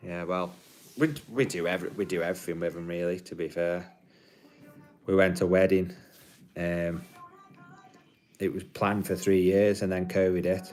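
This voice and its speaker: With music playing in the background, the speaker keeps a moderate pace and fairly even intonation, stopping often for long pauses. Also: man, very deep, low pitch for a man. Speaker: livestreamer. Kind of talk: casual chat. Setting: live stream.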